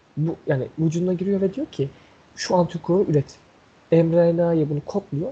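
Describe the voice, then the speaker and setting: Speaking at a moderate pace, a man with a high pitch and a dark, mellow tone shows ordinary pitch variation. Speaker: podcast co-host. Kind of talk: casual chat.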